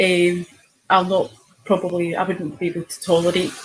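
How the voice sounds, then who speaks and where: Speaking with a Scottish accent, a woman's fairly low voice stays monotone and flat. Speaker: online show host. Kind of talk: casual chat.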